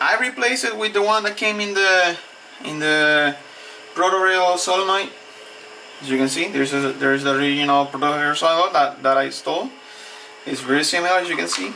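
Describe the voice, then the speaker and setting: In a Spanish accent, the speaker talks at a fairly quick pace with lively intonation over noticeable background noise. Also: man. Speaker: hobbyist tinkerer. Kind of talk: tutorial. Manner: halting.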